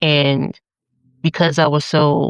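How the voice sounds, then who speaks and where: With an American accent, a woman speaks in a very deep, low pitch and a monotone, flat intonation, her vocal fry caught in a dry, close sound with no echo. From Atlantic City, New Jersey, US. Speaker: poet, spiritualist, community organizer. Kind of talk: podcast interview answer. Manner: candid, casual.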